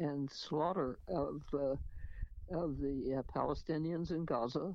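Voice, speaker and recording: A woman's very deep, low voice at a very slow pace. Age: 90s. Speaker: radio host and author. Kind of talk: casual talk with memoir reading.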